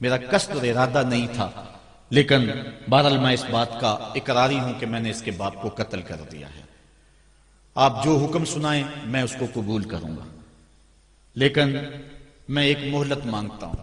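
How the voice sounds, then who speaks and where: Over noticeable background noise, a man at medium pitch speaks in a passionate tone, with lively intonation and big swings in loudness. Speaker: Islamic preacher giving a sermon. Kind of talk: religious sermon (bayan) delivered to an audience. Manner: passionate, storytelling preacher style.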